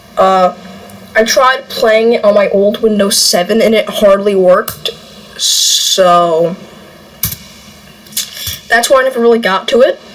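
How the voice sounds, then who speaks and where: Noticeable background noise runs throughout as a woman talks at a moderate pace. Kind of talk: casual gaming commentary.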